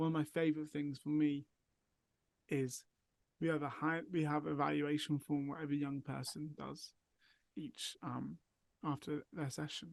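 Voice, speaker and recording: In an English accent, a man speaks at a moderate pace with a fairly high pitch, monotone, flat intonation, and long, frequent pauses. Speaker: mental health charity worker. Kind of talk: casual chat.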